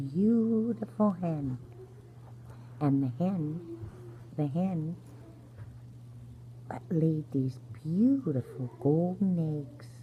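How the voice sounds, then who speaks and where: Soft-spoken and somewhat breathy, a woman with a very deep, low pitch and a dark, mellow tone talks very slowly with long, frequent pauses, lively intonation and big swings in loudness. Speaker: grandmother-style bedtime storyteller. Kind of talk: sleep story. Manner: soft-spoken, gentle.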